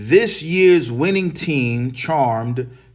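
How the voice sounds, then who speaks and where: Here a man talks in a New York accent. His pace is very slow. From New York City. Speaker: English teacher. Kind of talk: English lesson reading and explaining newspaper articles.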